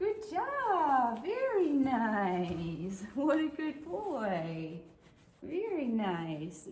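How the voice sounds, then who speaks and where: In a put-on character voice, a female-sounding speaker goes at a very slow pace, high-pitched for a woman, with very wide pitch swings. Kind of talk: high-pitched, affirming, praising a dog. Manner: affirming.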